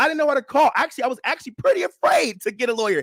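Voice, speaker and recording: Recorded dry and close with no echo, a man with an American accent talks at a very fast pace with lively intonation. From Chicago, US Midwest (West Side). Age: 20s. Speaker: radio host. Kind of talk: call-in radio talk show.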